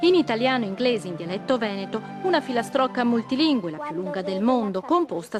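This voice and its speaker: With music playing behind her, a woman talks very fast at a fairly high pitch with lively intonation. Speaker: TV news reporter. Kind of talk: TV news report narration.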